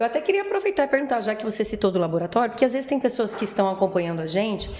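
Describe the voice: Using a put-on character voice, a woman talks very fast in a fairly high, hoarse voice over light background noise.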